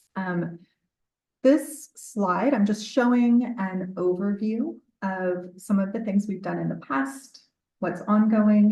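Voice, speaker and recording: A woman speaks at a very slow pace with lively intonation, a medium pitch and a dark, mellow tone, with audible room echo around her. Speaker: dental public health professor. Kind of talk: conference presentation. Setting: conference room with microphone. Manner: loud.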